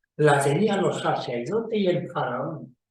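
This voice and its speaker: A man with lively intonation in audible room echo. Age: 90s. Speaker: magician. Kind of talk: casual talk to camera.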